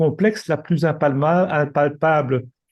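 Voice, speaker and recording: A man speaks at a very slow pace with a fairly high pitch and a dark, mellow tone against a quiet background. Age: 60s. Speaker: retired executive and coach. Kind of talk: presentation. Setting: video call. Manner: halting.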